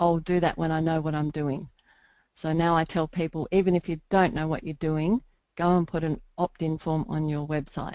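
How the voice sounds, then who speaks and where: With an Australian accent, a woman speaks in a very deep, low pitch with a dark, mellow tone and fairly even intonation. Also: moderate pace. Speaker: internet marketer. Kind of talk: interview.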